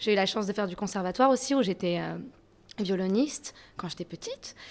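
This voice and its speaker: On a very clean recording with a silent background, an ordinary speaking voice keeps a moderate pace. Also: woman. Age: young. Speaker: rap electro artist. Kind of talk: interview.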